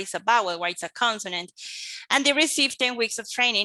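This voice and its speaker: In a Colombian accent, a woman speaks at a fairly high pitch with a bright, sharp tone. The sound is dry and close with no echo, against a quiet background. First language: Spanish. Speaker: English teacher and researcher. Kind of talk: conference presentation. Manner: hesitant, many fillers.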